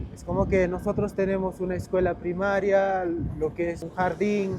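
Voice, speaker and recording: A high-pitched man with an Andean accent, monotone, flat intonation, and noticeable background noise. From Peru, Uros community on Lake Titicaca, Puno. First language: Aymara (speaking Spanish). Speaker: boat guide. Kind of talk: casual interview. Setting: outdoors on a boat.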